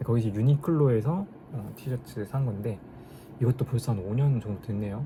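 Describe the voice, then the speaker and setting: A man talks at a moderate pace in a plain, everyday voice with medium pitch. His intonation is lively. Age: 30s. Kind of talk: casual talk to camera vlog.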